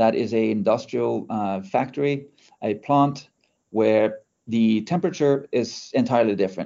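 Speaking with a Norwegian accent, a man talks at medium pitch and a fairly slow pace with ordinary pitch variation. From Norway. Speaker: startup CEO and engineer. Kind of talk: interview. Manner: hesitant with many fillers.

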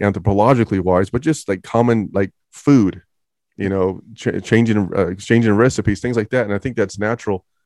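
Speaking at a fairly quick pace with fairly even intonation, a man has a normal speaking voice. The background is quiet. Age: 40s. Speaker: YouTuber and commentator. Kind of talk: casual interview chat.

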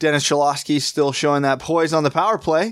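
A man's plain, everyday voice, fairly high in pitch and fairly quick in pace, on a very clean recording with a silent background. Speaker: hockey podcast host. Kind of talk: casual chat.

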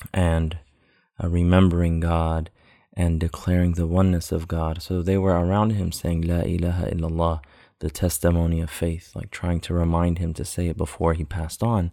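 In a dark, mellow tone, a man speaks at a very deep, low pitch with monotone, flat intonation. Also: moderate pace. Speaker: religious podcast host. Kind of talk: spiritual teaching talk. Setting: home recording at night. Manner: soft-spoken.

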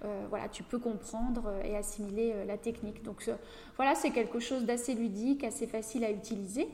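A woman's unremarkable speaking voice, fairly high in pitch, with fairly even intonation. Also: moderate pace. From northeastern France (Château-Thierry, near Reims). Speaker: facialist and massage therapist. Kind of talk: casual interview. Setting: studio.

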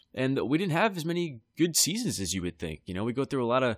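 A man is speaking here. The recording is very clean, with a silent background. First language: American Sign Language. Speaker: podcast host, sports fan. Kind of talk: solo podcast monologue. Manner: casual, with frequent fillers.

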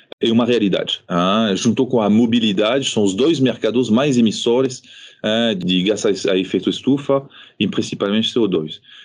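This man talks at a moderate pace with a medium pitch. His pitch varies in an ordinary way, and his loudness stays very even. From France, childhood also in Morocco and Réunion. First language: French (speaking Portuguese). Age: 40s. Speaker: company executive. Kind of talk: interview. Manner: halting, with many fillers and repetitions.

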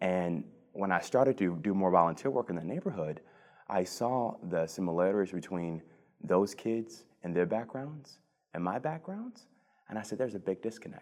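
On a very clean recording with a silent background, a man with an American accent and fairly low pitch speaks at a moderate pace with lively intonation. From Cleveland, Ohio, US Midwest. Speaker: policy advisor. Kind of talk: interview. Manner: hesitant, many fillers.

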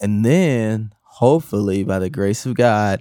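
In a very clean recording with a silent background and a dry, close sound with no echo, a man speaks at a fairly low pitch in a dark, mellow tone. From Milwaukee, Wisconsin. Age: 30s. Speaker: podcast host, video editor. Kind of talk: solo podcast rant. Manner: casual, conversational.

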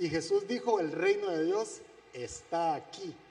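Noticeable background noise carries on throughout. Against it, a man talks fairly slowly. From Guatemala. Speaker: church speaker. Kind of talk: sermon.

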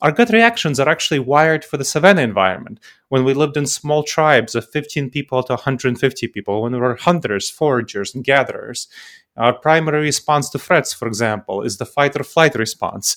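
A man with a plain, everyday voice and fairly high pitch talks at a fairly quick pace with lively intonation. The sound is dry and close with no echo, on a very clean recording with a silent background. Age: 40s. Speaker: decision-making consultant and author. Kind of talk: interview.

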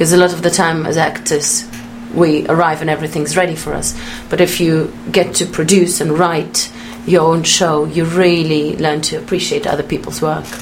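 Against noticeable background noise, a woman speaks at a moderate pace with a fairly low pitch and fairly even intonation. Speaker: actor. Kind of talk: radio interview chat.

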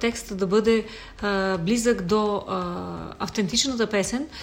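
Very slowly, a woman speaks at a fairly high pitch with fairly even intonation. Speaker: folk singer. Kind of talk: casual chat.

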